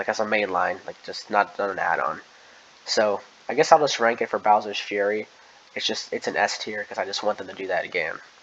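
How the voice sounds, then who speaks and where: Against noticeable background noise, a man talks at a fairly quick pace with big swings in loudness. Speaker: gaming youtuber. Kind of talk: casual commentary. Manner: fast.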